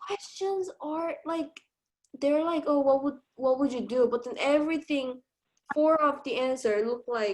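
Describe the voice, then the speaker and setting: This woman's high voice moves along at a fairly slow pace. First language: non-English. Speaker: nursing student. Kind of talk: tutoring session. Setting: video call.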